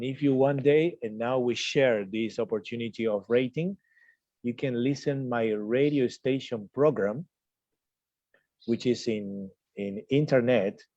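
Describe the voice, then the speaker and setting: A man with a Spanish accent and a dark, mellow tone speaks at a fairly slow pace, medium in pitch for a man with ordinary pitch variation, against a quiet background. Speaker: tour guide and radio announcer. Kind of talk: interview.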